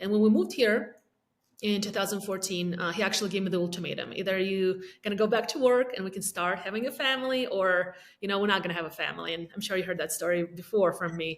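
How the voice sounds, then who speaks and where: The speaker talks at a very fast pace with an Eastern European accent. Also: woman, medium pitch for a woman, ordinary pitch variation. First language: not English (English is third language). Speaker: realtor. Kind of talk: podcast interview.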